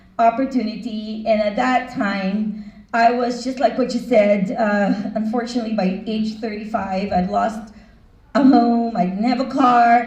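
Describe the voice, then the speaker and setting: Speaking at a fairly slow pace, a woman keeps a fairly high pitch and fairly even intonation amid audible room echo. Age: 60s. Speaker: financial business owner and speaker. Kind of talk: motivational talk.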